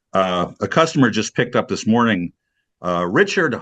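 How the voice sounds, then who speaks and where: A man is talking. The background is quiet. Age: 60s. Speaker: video studio business owner. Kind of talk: casual chat. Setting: video call. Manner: halting.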